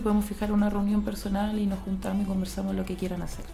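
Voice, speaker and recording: The speech comes at a very fast pace, with noticeable background noise and audible room echo. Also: woman. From Chile. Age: 30s. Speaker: import business consultant. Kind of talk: radio interview.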